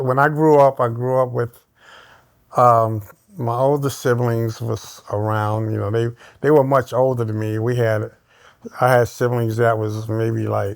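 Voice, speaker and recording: In a very clean recording with a silent background, a man speaks at a fairly slow pace with flat, monotone intonation and long, frequent pauses. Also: medium pitch for a man. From Brooklyn, New York. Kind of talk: interview answer.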